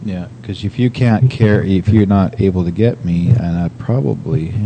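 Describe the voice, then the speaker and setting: This man's voice is fairly low-pitched, with lively intonation. Noticeable background noise runs under it. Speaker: radio host. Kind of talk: casual chat. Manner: fast.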